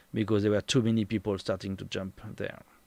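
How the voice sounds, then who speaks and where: Recorded very cleanly against a silent background, a man speaks with a French accent. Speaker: tour guide and streamer. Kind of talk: live stream talk. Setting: home. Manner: halting, searching for words.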